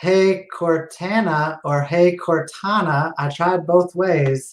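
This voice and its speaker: A man's high-pitched voice with an American accent, fairly even intonation and a very slow pace. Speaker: tech talk show host. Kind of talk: casual chat.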